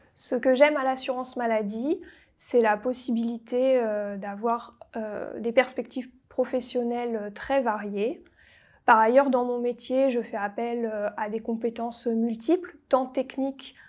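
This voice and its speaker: Against a quiet background, a woman talks at a very slow pace. Her pitch is high and her intonation fairly even. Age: 20s. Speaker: statistician. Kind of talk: recruitment testimonial. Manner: formal. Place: office. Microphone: lapel.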